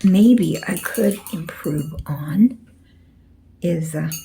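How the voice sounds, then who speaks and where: Soft-spoken, a woman talks at a very slow pace. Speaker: painting tutor. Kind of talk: tutorial. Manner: casual.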